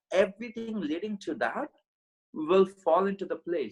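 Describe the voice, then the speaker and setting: A man with an Indian accent and lively intonation at a moderate pace, with a dry, close sound and no echo. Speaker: podcast guest, mindset coach. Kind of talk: interview. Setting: call from India.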